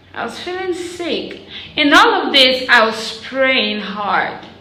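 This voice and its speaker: A very slow-talking woman, her pitch swinging very widely, with audible room echo. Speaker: prophetic prayer YouTuber. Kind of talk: personal testimony vlog. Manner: quieter, weaker than usual.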